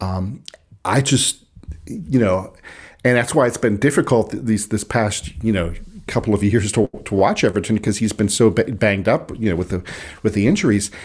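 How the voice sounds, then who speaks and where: A man in a Pittsburgh accent, fairly low-pitched and somewhat breathy, with ordinary pitch variation at a moderate pace. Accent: Pittsburgh North Side American. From Pittsburgh, US. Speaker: sports writer and Everton fan. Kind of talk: casual chat. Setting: video call.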